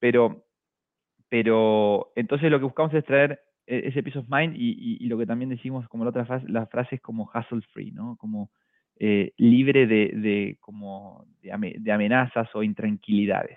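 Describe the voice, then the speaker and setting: A man's unremarkable speaking voice at medium pitch, with ordinary pitch variation, a moderate pace and big swings in loudness. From small town in Argentina. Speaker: fintech executive. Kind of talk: interview.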